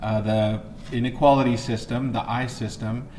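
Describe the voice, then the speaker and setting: Noticeable background noise and audible room echo surround a man speaking in a flat monotone at a fairly slow pace. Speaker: math teacher. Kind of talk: lecture. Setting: empty classroom, recorded video. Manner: halting, many fillers.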